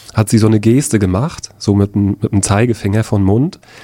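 Fairly low pitch and fairly even intonation from a male speaker. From Rostock-Lichtenhagen, northeastern Germany. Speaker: anti-racism trainer, eyewitness. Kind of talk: personal testimony. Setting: studio. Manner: halting, with frequent fillers.

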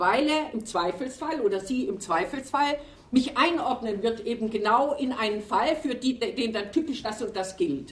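Noticeable background noise sits under a woman's fairly high voice. She speaks at a fairly slow pace with lively intonation. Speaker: retired sociology professor. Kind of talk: panel discussion. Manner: loud.

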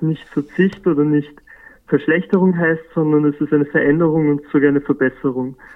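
With monotone, flat intonation, a man talks at a fairly high pitch. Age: 20s. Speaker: youth climate activist. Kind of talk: interview. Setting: phone call.

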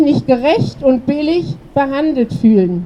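A woman's high-pitched voice at a fairly slow pace, over noticeable background noise. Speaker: protest speaker. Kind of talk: rally speech. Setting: outdoors at a protest.

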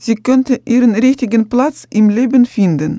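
Her fairly high voice has a dark, mellow tone and moves at a very slow pace, recorded with a dry, close sound that has no echo. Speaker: radio presenter. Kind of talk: radio presenting, reading script. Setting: studio.

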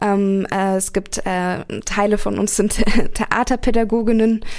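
The woman's medium-pitched voice stays monotone and flat. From Berlin. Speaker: activist and student. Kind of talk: radio interview. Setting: radio studio. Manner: hesitant with many fillers.

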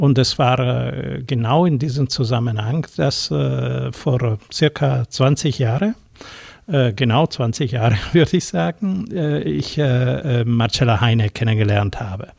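At a very slow pace with long, frequent pauses, a man speaks in a somewhat breathy voice at medium pitch, his intonation lively. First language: Italian (speaking German). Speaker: former consulate education official. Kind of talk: studio interview. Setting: radio studio.

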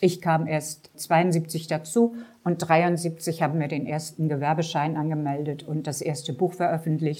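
Her voice is very deep and low, with a dark, mellow tone. The woman talks at a fairly slow pace with fairly even intonation. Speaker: author. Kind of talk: book reading.

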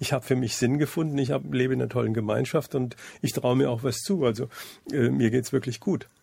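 The tone is dark and mellow, with vocal fry. The delivery comes at a very fast pace. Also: man, medium pitch for a man, ordinary pitch variation. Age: 60s. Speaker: school happiness program founder. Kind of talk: radio interview.

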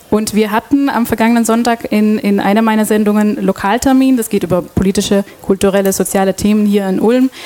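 A woman's fairly high voice at a moderate pace, with ordinary pitch variation and noticeable background noise. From Belgium, Antwerp. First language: Dutch (speaking German). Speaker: radio host. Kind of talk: panel discussion moderation. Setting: stage with audience.

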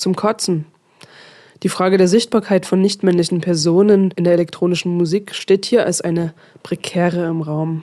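Against a quiet background, a woman speaks in a dark, mellow tone. Her pitch is fairly low and her intonation fairly even. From Dresden, Saxony. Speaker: radio host. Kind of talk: radio presentation.

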